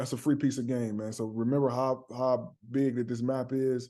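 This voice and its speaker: Against a quiet background, a man with a dark, mellow tone talks at a fairly quick pace with fairly even intonation. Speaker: dispatch business coach. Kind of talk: tutorial. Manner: fast; casual.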